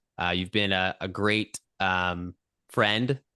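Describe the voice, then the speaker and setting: Over a quiet background, a man speaks loudly with a bright, sharp tone. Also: dry, close sound with no echo. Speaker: podcast host. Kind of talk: casual interview. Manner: fast.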